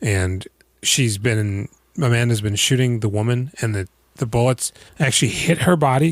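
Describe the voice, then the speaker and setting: Recorded very cleanly against a silent background, the sound is dry and close with no echo. A man speaks in a somewhat breathy voice at medium pitch with ordinary pitch variation. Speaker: movie podcast host. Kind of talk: casual chat. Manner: animated.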